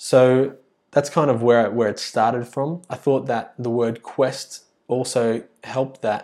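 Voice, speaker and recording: A man with an Australian accent speaks in a medium pitch at a fairly slow pace, his tone dark and mellow and his intonation fairly even. The recording is very clean, with a silent background. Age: 20s. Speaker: podcast host and primary school teacher. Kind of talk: solo podcast monologue. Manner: halting, many fillers and restarts.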